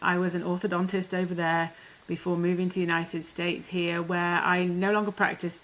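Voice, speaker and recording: A woman's fairly low voice with an English accent and monotone, flat intonation. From England. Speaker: life coach, former orthodontist. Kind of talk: interview.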